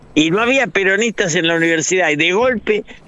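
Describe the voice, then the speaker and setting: Through noticeable background noise, a man with a high pitch speaks with lively intonation. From Argentina. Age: 80s+. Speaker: political analyst and writer. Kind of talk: radio interview.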